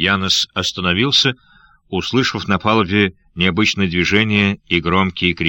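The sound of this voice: Delivered in an unforced reading voice, the speech carries fairly even intonation.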